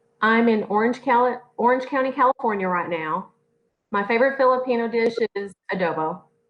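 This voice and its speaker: Speaking at a fairly quick pace, a woman has a fairly high pitch. She talks in a Southern US accent with ordinary pitch variation. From US South, northwest Tennessee. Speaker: author and self-taught chef. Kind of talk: interview.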